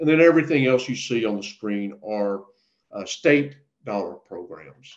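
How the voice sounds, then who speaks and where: Speaking at a moderate pace with an American accent, a man with an unremarkable speaking voice uses a medium pitch, lively intonation and big swings in loudness. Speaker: state water agency presenter. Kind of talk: webinar presentation. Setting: online webinar.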